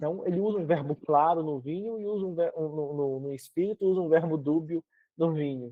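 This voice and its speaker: Using a plain, everyday voice, a man speaks at a fairly quick pace with fairly high pitch and ordinary pitch variation. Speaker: Bible teacher. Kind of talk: lecture.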